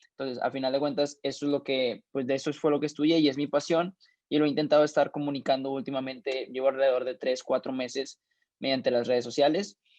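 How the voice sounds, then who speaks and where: Over a quiet background, a man with a fairly high voice speaks very fast with fairly even intonation. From Mexico. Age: 20s. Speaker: young investor and finance mentor. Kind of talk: interview. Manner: halting, many fillers.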